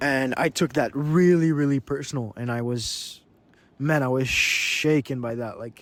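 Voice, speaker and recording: A man speaks with a Quebec accent and fairly even intonation. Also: fairly slow pace. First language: French. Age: young. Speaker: vlogger and business owner. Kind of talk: casual vlog monologue. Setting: outdoors on a beach. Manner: halting, many repetitions.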